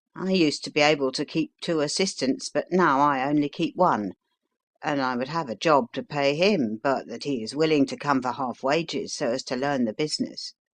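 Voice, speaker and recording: Against a quiet background, a man uses a raspy, put-on character voice at a fairly high pitch and a moderate pace. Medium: read story. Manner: homely, rambling.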